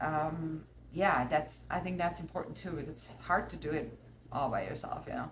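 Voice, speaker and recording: Through audible room echo and noticeable background noise, a woman talks at a moderate pace. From Austria. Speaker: artist and musician. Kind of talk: casual chat. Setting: art studio.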